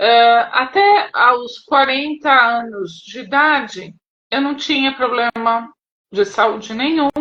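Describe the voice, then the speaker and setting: A woman projects a raised, high voice with a bright, sharp tone. Her pace is very slow. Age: 50s. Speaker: pharmacist, program client sharing testimony. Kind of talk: testimony in live interview. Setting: live video call. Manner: hesitant.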